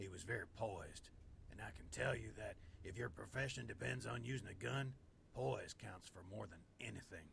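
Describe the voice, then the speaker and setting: A man puts on a raspy character voice, pitched very deep and low, with very wide swings in pitch. He talks at a moderate pace over clear background noise. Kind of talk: genteel Southern gentleman. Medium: video game. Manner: formal, elaborate vocabulary.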